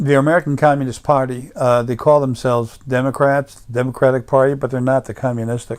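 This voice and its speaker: Speaking with a slight New York accent, a man goes at a very fast pace with hardly any pauses. His medium pitch carries monotone, flat intonation. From US Northeast, Long Island, New York. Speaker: political commentator. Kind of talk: monologue rant. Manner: halting, many fillers.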